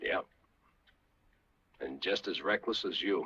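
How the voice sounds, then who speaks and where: Putting on a character voice, a man speaks at a fairly slow pace in a raspy, extremely high pitch. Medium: short film. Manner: measured, dry, calm.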